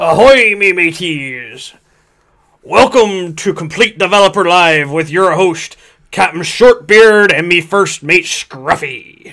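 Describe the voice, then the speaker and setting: A man puts on a character voice, pitched high. He talks at a fairly slow pace. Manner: jolly, theatrical.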